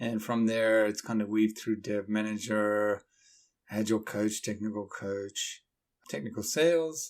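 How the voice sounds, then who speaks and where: A man at a fairly slow pace, with a slight Australian accent. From Sydney, Australia. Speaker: methodology founder, software developer. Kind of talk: podcast interview.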